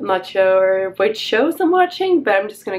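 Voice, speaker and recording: Noticeable background noise surrounds the recording. Over it, a woman talks with lively intonation. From Norway. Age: 20s. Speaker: vlogger. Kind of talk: casual vlog talk to camera.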